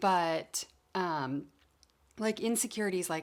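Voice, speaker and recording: A woman talks with ordinary pitch variation on a very clean recording with a silent background. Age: 50s. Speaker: retired school principal turned YouTuber. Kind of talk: casual vlog talk to camera. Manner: slow.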